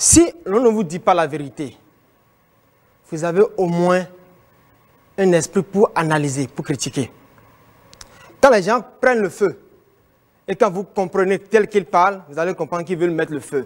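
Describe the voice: A man with a high-pitched voice talks at a moderate pace with lively intonation, leaving long, frequent pauses.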